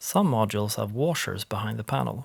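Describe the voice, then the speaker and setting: With a Swedish accent and lively intonation, a man speaks with vocal fry. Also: dry, close sound with no echo. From Sweden. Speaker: eurorack panel maker. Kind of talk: tutorial voice-over.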